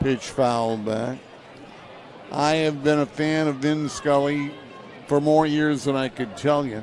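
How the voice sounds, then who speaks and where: Noticeable background noise sits behind a man with a fairly high pitch and fairly even intonation. He talks at a fairly slow pace with long, frequent pauses. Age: 70s. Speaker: baseball play-by-play announcer. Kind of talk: live commentary.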